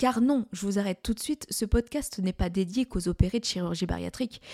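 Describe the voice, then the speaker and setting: Somewhat breathy, a woman's voice has a dark, mellow tone and a dry, close sound with no echo. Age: 40s. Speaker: podcast host, medical secretary. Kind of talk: casual monologue. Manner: conversational with hesitations.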